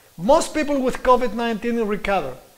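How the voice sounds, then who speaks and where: This man's voice is extremely high in pitch and carries a non-native accent. He keeps a moderate pace, and audible room echo surrounds him. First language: Greek. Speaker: preacher and scientist. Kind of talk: sermon-style presentation. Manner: halting.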